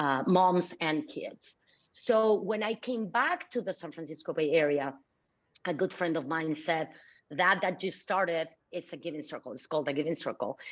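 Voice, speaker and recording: Over a quiet background, a woman with a Mexican accent and a fairly low pitch speaks at a moderate pace with lively intonation. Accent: deep Mexican Spanish. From Mexico (Mexico City). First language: Spanish. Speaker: philanthropy leader. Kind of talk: interview.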